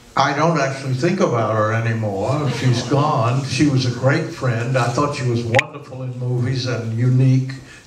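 Noticeable background noise surrounds a man speaking at a moderate pace in an American accent with fairly even intonation. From United States. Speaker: film director. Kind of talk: interview answer. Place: stage.

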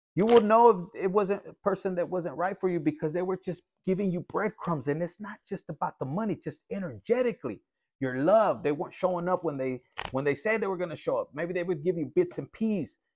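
A man at a fairly quick pace, high pitch and ordinary pitch variation, against a quiet background. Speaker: tarot reader. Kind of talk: casual tarot reading commentary. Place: home room. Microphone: phone near.

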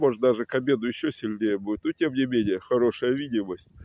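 Light background noise sits behind a man whose voice sounds dry, with no echo. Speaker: video blogger. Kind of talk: casual vlog chat. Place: waterside. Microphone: phone near.

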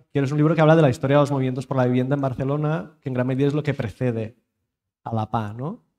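A man speaks with fairly even intonation in a dark, mellow tone. The background is quiet. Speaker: panel moderator. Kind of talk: moderated panel discussion. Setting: stage with audience, streamed. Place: hall.

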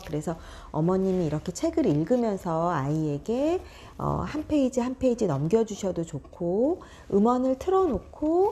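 Her voice has a dark, mellow tone and very wide pitch swings, and this woman speaks at a fairly slow pace. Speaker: early childhood book educator. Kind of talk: tutorial. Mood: warm, friendly, gently animated. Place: classroom. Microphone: lapel.

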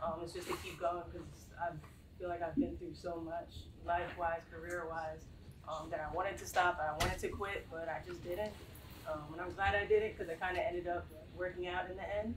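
Noticeable background noise sits behind the voice. A woman talks at a fairly quick pace. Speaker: graphic designer; panelist. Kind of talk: panel discussion. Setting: live panel with audience in the room. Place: meeting room. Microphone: camera far.

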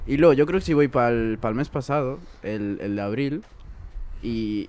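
A man talks at a moderate pace with ordinary pitch variation in a dry sound with no echo. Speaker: podcast host. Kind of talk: casual chat. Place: home room. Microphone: studio mic.

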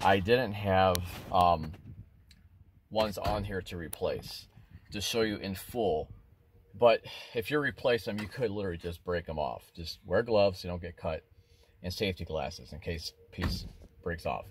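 In a dry sound with no echo and light background noise, a man with a fairly low, somewhat breathy voice speaks at a moderate pace, with ordinary pitch variation, big swings in loudness, and long, frequent pauses. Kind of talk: tutorial. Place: street. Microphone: phone near.

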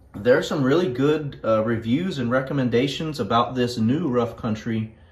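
At a moderate pace, a man speaks with a somewhat breathy voice and ordinary pitch variation. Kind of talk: casual vlog chat. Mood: excited, upbeat. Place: garage.

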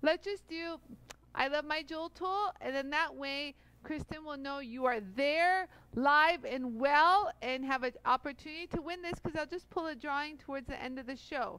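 Her voice raised and projected, a woman speaks at a moderate pace with ordinary pitch variation and a bright, sharp tone, the sound dry with no echo. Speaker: live show host. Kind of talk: casual live stream chat. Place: studio. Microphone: headset.

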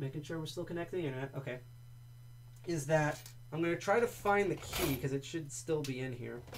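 Using ordinary pitch variation, a man speaks at a fairly high pitch with an American accent. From New Jersey, US. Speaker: livestream host, lockpicking hobbyist. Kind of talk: casual livestream presentation. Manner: casual, rambling, jokey.

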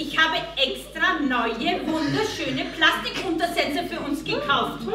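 Over noticeable background noise, a woman speaks at a very slow pace in a raised, projected voice with ordinary pitch variation. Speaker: stage actor. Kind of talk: theatre dialogue. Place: stage. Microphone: camera far.

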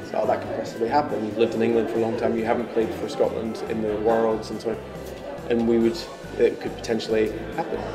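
A man speaks at a very fast pace. Music is clearly audible in the background. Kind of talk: interview answer. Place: office.

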